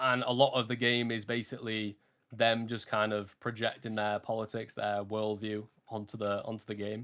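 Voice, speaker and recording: Speaking with a British accent, a man talks at a moderate pace and a medium pitch. His intonation is monotone and flat. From UK. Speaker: streamer. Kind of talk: casual chat.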